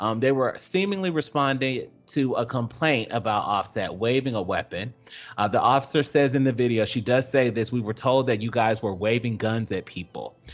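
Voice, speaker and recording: This man speaks with an unremarkable speaking voice at a medium pitch and ordinary pitch variation. His pace is moderate, with hardly any pauses. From US South, Georgia. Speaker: radio show co-host. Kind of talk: casual chat.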